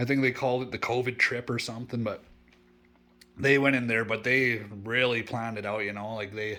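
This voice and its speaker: A man with a medium-pitched, monotone voice and flat intonation, talking at a fairly quick pace. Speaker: bushcraft vlogger. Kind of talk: casual vlog narration. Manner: halting, repeats words.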